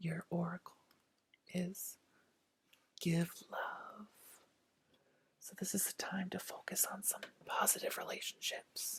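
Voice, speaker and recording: Whispering in a soothing tone at a very slow pace, with long, frequent pauses. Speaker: tarot reader. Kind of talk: ASMR tarot reading, soft speaking and whisper. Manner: soft-spoken, soothing.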